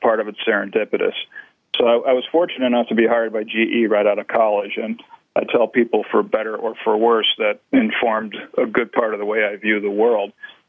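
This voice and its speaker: A man with a normal speaking voice, medium pitch and fairly even intonation. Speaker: business author. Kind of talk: interview.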